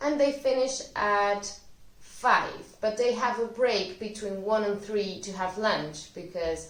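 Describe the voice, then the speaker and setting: Speaking in a Spanish accent, a woman talks at a very slow pace and medium pitch. Her pitch variation is ordinary, with noticeable background noise. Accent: Spanish (Spain). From Spain. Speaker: Spanish language teacher. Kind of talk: educational talk to camera.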